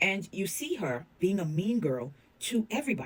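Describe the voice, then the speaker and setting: Her pitch makes very wide swings in an animated tone. The woman also sounds somewhat breathy. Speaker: reality TV commentator. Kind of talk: casual commentary monologue.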